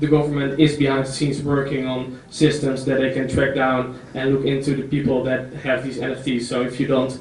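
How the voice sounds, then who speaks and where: A man with a Dutch accent talks at a moderate pace in a monotone, flat intonation. Audible room echo surrounds the recording. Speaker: entrepreneur. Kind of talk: conference talk. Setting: stage with audience. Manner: halting.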